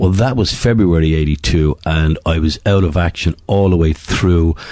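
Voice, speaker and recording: With an Irish accent, a man speaks at a very deep, low pitch with ordinary pitch variation against noticeable background noise. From Ireland (Dublin). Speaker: retired middle-distance runner. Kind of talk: interview.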